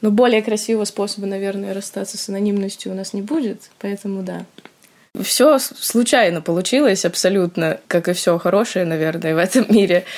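An ordinary speaking voice from a woman, with ordinary pitch variation and big swings in loudness. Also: medium pitch for a woman, fairly quick pace. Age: young. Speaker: student, meme page admin. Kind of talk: casual chat.

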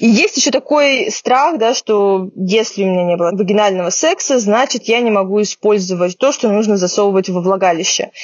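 A woman with a medium pitch talks with hardly any pauses. Her loudness stays very even against noticeable background noise. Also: lively intonation, moderate pace. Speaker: podcast host, medical journalist. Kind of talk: casual chat. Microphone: poor sound due to technical problems.

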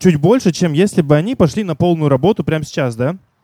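A man with a high pitch, a dark, mellow tone, lively intonation and a very fast pace, in a dry, close sound with no echo. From Vladivostok, Russia. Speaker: audience member asking a question. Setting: bar with live audience.

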